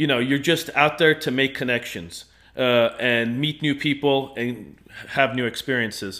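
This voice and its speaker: A man speaks at a moderate pace in a bright, sharp, medium-pitched voice with ordinary pitch variation, captured on a very clean recording with a silent background. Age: 30s. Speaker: podcast guest. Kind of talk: casual chat. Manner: halting.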